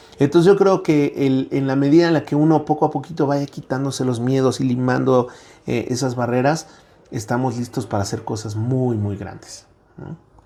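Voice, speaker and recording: A man with a medium pitch and a dark, mellow tone speaks with ordinary pitch variation. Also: moderate pace. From central Mexico, Toluca. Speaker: professor. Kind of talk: interview.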